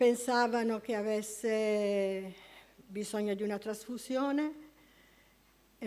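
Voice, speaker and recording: Fairly even intonation runs through this voice with an Apulian accent. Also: woman. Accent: Apulian, noted by herself. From Apulia, southern Italy. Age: 70s. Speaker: church member giving testimony. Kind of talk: testimony. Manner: halting.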